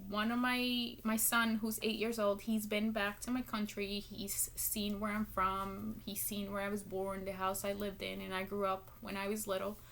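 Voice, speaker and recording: A woman with a Spanish accent at medium pitch, moderate in pace, with hardly any pauses and monotone, flat intonation. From Guatemala. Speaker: public speaking student. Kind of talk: class speech. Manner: hesitant, many ums.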